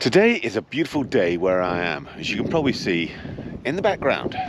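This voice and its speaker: Over noticeable background noise, a man with an English accent speaks fairly quickly at a fairly low pitch, with lively intonation. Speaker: motorcycle vlogger. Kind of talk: casual vlog narration. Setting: riding a motorcycle outdoors.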